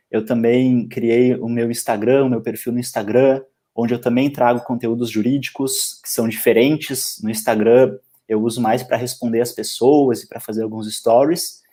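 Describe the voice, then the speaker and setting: At a fairly slow pace, a man with a Porto Alegre accent speaks at medium pitch in a dark, mellow tone. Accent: Porto Alegre (gaúcho) accent, noticeable. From southern Brazil, Porto Alegre. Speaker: law lecturer and civil servant. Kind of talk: casual interview chat on a live stream. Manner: halting, with frequent repetitions.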